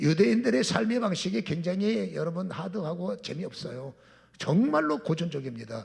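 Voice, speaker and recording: A man's high voice leaps through very wide pitch swings as he talks at a fairly quick pace. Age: 60s. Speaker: pastor. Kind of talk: sermon.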